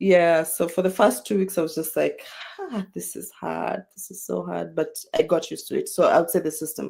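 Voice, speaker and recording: A woman speaks with a Kenyan accent. Her loudness swings widely. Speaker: international student. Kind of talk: casual interview. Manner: slow, unhurried; patient, takes her time.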